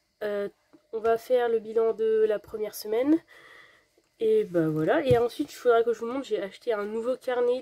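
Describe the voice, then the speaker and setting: Her tone is dark and mellow. The woman's pitch is fairly high, with ordinary variation. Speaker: budgeting vlogger. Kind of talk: casual vlog. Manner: hesitant, filler-heavy.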